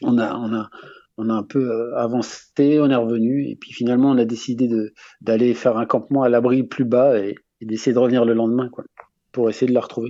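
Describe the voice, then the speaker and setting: A man speaks fairly quickly at a medium pitch in a flat, monotone delivery. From France, Haute-Savoie. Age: 40s. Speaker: long-distance hiker with animals. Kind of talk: radio interview. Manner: halting, many repetitions and fillers.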